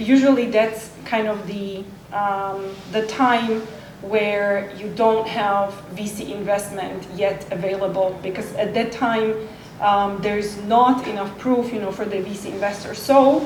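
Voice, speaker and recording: Speaking at a fairly slow pace with fairly even intonation, a woman is heard amid noticeable background noise and audible room echo. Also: medium pitch for a woman. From Slovakia. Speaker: panelist on entrepreneurship. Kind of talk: panel discussion.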